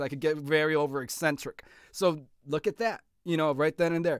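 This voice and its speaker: The recording is very clean, with a silent background. A man talks in an animated tone. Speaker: author and editor. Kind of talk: tutorial. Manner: fast.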